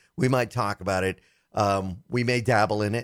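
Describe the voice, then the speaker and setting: At a moderate pace, a man with an unremarkable speaking voice talks at a fairly low pitch with ordinary pitch variation, in a dry, close sound with no echo and a very clean recording with a silent background. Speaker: tech radio host. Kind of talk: casual chat about technology.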